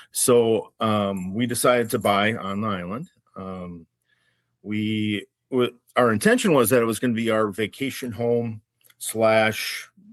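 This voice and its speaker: Against a quiet background, a man with a slight Minnesotan accent talks in a fairly low pitch. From Minnesota, Minneapolis-Saint Paul area. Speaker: wine educator and small business owner. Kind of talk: casual interview.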